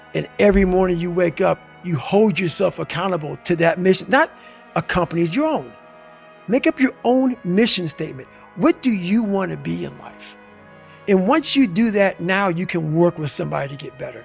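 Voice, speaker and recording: A man's high-pitched, intense voice at a moderate pace, with music in the background. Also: lively intonation, big swings in loudness. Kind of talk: motivational speech. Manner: intense, forceful.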